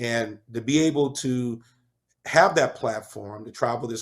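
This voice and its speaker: A man with an ordinary speaking voice at a moderate pace, ordinary pitch variation and a very clean recording over a silent background. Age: 50s. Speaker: chef and author, former prisoner. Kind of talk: interview.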